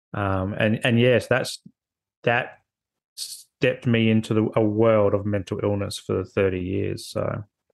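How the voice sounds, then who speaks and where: A man's fairly low, monotone, flat voice at a fairly slow pace over a quiet background. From Australia, Adelaide. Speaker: social worker; podcast guest. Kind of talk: casual chat. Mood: reflective, personal storytelling. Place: home room. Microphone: video call.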